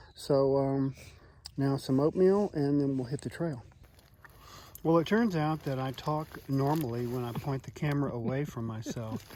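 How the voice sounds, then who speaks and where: A man's dark, mellow voice at a fairly high pitch, with ordinary pitch variation, a moderate pace and long, frequent pauses. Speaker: hiker vlogger. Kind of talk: casual vlog narration. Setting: outdoors on trail.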